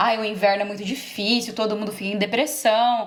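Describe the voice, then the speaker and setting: Here is a woman with a plain, everyday voice. She speaks at a moderate pace in a fairly high pitch. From Brazil, interior of São Paulo state. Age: 20s. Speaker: engineer who emigrated. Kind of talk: interview.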